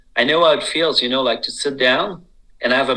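A man with a Quebec accent and a bright, sharp tone. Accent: Québécois French. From Quebec, Bois-Francs region. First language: French. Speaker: sommelier. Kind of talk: radio interview. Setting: remote call from home. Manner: halting, many fillers.

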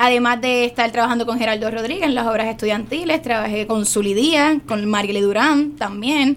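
A woman with a high voice talks very fast with ordinary pitch variation over noticeable background noise. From Puerto Rico, San Juan. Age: young. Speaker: actress. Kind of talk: radio interview.

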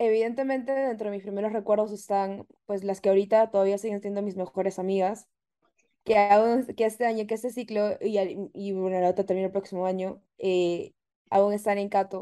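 A woman speaks in a dark, mellow tone at medium pitch. Her intonation is flat and monotone. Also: moderate pace. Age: 20s. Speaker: art director. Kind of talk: interview. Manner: talkative.

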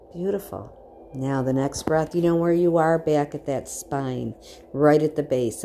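A woman with a very deep, low pitch and a gentle tone, over music in the background. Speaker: meditation guide. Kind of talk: guided meditation. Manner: gentle, reassuring, instructive.

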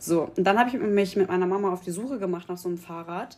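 A woman speaks at a fairly quick pace, her medium pitch carrying ordinary pitch variation. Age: 20s. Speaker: podcast guest. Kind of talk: casual chat. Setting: festival in Berlin.

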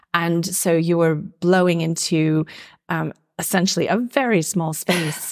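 In a normal speaking voice, a woman talks at a fairly slow pace with a fairly low pitch, very even loudness and fairly even intonation. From US Midwest, Minnesota. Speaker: oboist and psychotherapist. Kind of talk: interview conversation.

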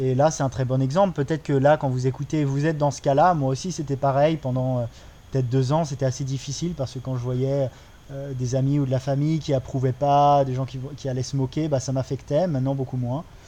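Here a man at a medium pitch speaks at a fairly quick pace in a flat monotone. His tone is dark and mellow. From France. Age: 30s. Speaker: podcast co-host. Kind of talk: casual conversation. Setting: recording in Bali.

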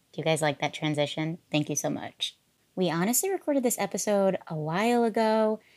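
In an ordinary speaking voice with lively intonation and a medium pitch, a woman talks at a fairly quick pace, recorded with a dry, close sound, no echo, and a very clean, silent background. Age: 30s. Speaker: perfume podcast host. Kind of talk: scripted narration; casual chat.

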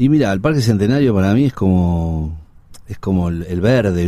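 A man's very deep, low voice with a Rioplatense accent and ordinary pitch variation. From Buenos Aires, Argentina (Villa Crespo). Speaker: actor and filmmaker. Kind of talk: interview conversation.

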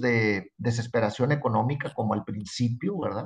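He has a somewhat breathy voice. This man's pace is fairly slow. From Mexico, Tampico, Tamaulipas. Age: 60s. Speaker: TV fishing show host and professional angler. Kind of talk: interview.

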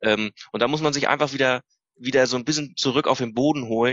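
A man speaks at a very fast pace in a medium pitch. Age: 30s. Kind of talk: casual interview. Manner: animated.

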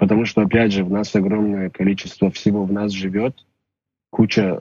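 The intonation is monotone and flat, and the sound is dry and close with no echo. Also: man. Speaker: musician. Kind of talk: casual chat.

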